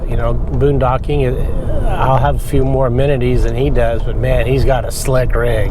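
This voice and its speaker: A man's moderate-paced speech carries audible room echo amid noticeable background noise. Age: 60s. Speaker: RV vlogger. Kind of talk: casual monologue while driving. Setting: in a truck. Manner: halting, many repetitions and fillers.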